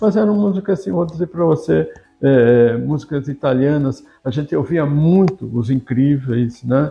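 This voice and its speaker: At a fairly slow pace, a man with a fairly high pitch sounds somewhat breathy and uses lively intonation. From Brazil, São Paulo (São Caetano do Sul). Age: 60s. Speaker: journalist and writer. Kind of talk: interview reminiscence. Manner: halting, many fillers.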